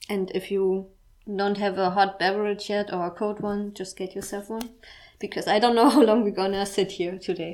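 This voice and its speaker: Speaking at a moderate pace in a strong German accent, a woman holds a medium pitch with monotone, flat intonation. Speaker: podcast host. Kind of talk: personal monologue. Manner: halting.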